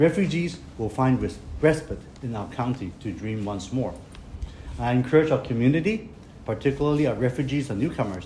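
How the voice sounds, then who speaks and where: Speaking with a Hong Kong accent, a man uses lively intonation with long, frequent pauses. Audible room echo is present. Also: medium pitch for a man, fairly quick pace. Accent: Hong Kong Cantonese-accented English. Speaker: county politician. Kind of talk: public speech. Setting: press conference at clinic opening.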